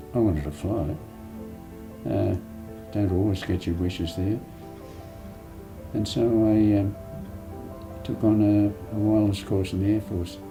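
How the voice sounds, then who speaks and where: Music plays behind a man as he talks at a fairly slow pace, with long, frequent pauses. His fairly low voice has fairly even intonation and audible room echo. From Sydney, Australia. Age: 90s. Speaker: war veteran. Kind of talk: interview.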